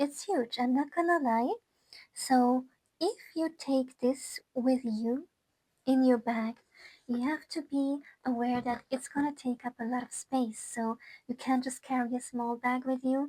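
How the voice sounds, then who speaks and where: With a non-native accent, a woman speaks at a high pitch in a dark, mellow tone, with ordinary pitch variation and long, frequent pauses. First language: not English. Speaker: gaming YouTuber and musician. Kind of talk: casual product review. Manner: hesitant, many fillers and restarts; enthusiastic.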